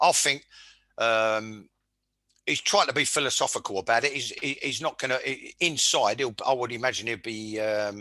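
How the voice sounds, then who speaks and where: A man speaks at a moderate pace in a medium pitch, his bright, sharp tone carrying ordinary pitch variation over a quiet background. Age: 60s. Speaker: former footballer, podcast host. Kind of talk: casual football chat. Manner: stumbling repetitions; animated.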